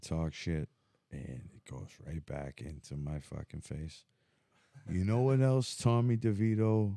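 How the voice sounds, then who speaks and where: A man with an American accent speaks fairly slowly in a fairly low pitch and a dark, mellow tone. His pitch swings very widely and his loudness swings a lot. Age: 40s. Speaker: podcast host. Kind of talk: casual chat.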